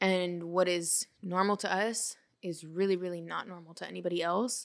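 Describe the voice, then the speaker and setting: Recorded very clean with a silent background, a woman with an American accent speaks at a fairly slow pace and fairly low pitch. Her tone is bright and sharp, and her intonation fairly even. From Portland, Oregon. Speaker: podcaster. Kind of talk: casual chat.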